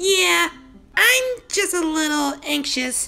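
A put-on character voice, high-pitched and very slow. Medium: dub. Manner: nervous, hesitant.

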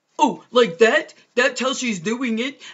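A put-on character voice sits at a fairly high pitch. The delivery runs at a fairly slow pace.

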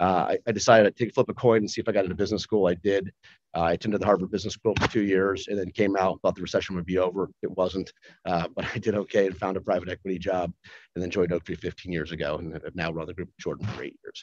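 Against a quiet background, a man with an American accent talks very fast in a very deep, low voice. His intonation stays fairly even while his loudness swings a lot. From US Midwest, Cleveland, Ohio; Ohio. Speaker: investment fund manager. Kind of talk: formal hearing testimony. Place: meeting room. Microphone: podium.

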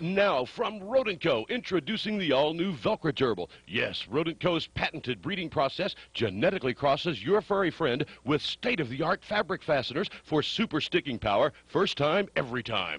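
A man with an American accent talks with hardly any pauses, his voice showing vocal fry in a dry, close sound with no echo. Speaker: radio personality and actor. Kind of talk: 1980s-style infomercial announcer read, comedic. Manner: upbeat, fast-paced, salesy, tongue-in-cheek.

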